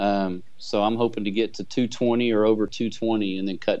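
A man speaks at a moderate pace and fairly low pitch, with a dark, mellow tone and fairly even intonation. The sound is dry with no echo and a quiet background. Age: 40s. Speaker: amateur bodybuilder; podcast guest. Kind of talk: interview. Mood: calm, relaxed. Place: office. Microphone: video call.

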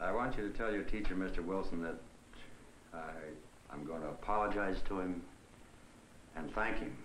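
A man speaks at a very deep, low pitch with ordinary pitch variation and a moderate pace, leaving long, frequent pauses. Audible room echo and light background noise are present. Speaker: father. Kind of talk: scripted film dialogue. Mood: contrite, warm. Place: kitchen. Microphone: old recording.

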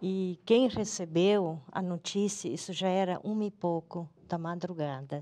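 Ordinary pitch variation marks this dark, mellow tone. The pace is very slow. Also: woman. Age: 50s. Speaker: mother of a crash victim; interviewee. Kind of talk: testimony. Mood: grieving, emotional. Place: studio.

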